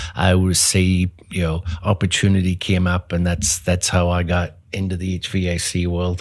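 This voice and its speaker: With a Northern Irish accent, a man speaks at a very deep, low pitch in a very clean recording with a silent background. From Northern Ireland, Belfast. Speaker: HVAC business owner. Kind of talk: interview.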